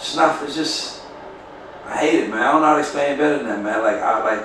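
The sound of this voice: A man's medium-pitched, fairly bright voice at a fast pace, with ordinary pitch variation and audible room echo.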